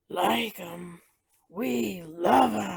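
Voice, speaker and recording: A put-on character voice sits at a middle pitch. It sounds raspy. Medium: read story. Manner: gruff, growly.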